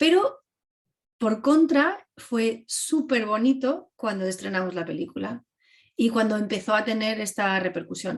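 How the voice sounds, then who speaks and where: A woman speaks at a fairly slow pace, somewhat breathy. Her tone is animated, with lively intonation. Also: fairly high pitch for a woman. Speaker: filmmaker. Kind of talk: class Q&A talk.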